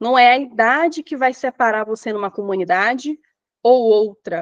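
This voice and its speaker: A woman talks at a fairly high pitch and a moderate pace, with ordinary pitch variation. The sound is dry and close with no echo, over a quiet background. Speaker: teacher trainer. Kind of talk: online lecture. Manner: animated.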